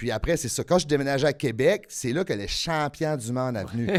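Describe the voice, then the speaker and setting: With a fairly high pitch and lively intonation, a man talks at a fairly quick pace. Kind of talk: casual, conversational.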